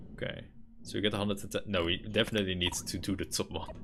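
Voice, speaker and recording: Talking very fast with a Dutch accent, a man has a fairly low pitch and fairly even intonation. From Netherlands. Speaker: gaming streamer. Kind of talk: live gameplay commentary. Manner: casual, thinking aloud with fillers.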